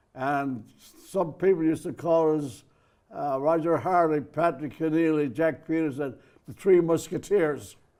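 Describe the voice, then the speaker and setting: Speaking in an Irish accent, a man has a dark, mellow tone and a fairly high pitch. He talks at a fairly slow pace with ordinary pitch variation. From Ireland. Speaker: merchant mariner, poet. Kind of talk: interview storytelling. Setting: studio.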